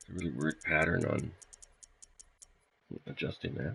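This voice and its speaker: His tone is bright and sharp, with vocal fry. The man keeps a moderate pace. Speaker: gaming live streamer. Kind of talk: live gameplay stream commentary. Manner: loud; animated.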